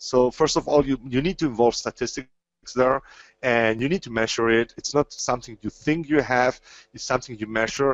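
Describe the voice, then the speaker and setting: With a slight German accent, a man talks at a fairly quick pace and a medium pitch. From Spain. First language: Spanish. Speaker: trading educator. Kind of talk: webinar lecture. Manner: halting, many repetitions and fillers.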